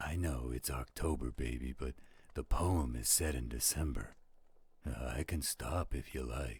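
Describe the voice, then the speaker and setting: A man puts on a character voice at a very deep, low pitch. He keeps a moderate pace. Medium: audio drama. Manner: warm, theatrical storyteller.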